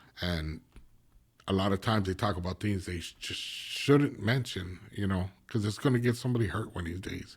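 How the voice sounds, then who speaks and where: This somewhat breathy voice moves at a moderate pace with ordinary pitch variation. The recording is very clean, with a silent background. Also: man, fairly low pitch for a man. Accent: American. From East LA and San Gabriel Valley, California. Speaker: former gang member and ex-prisoner. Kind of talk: casual interview conversation.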